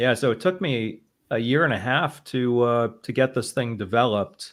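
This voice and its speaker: A normal speaking voice from a man, mid-range in pitch, middling in speed, with ordinary pitch variation. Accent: American. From Boston, US. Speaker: trading simulator developer and stream host. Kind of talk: casual chat.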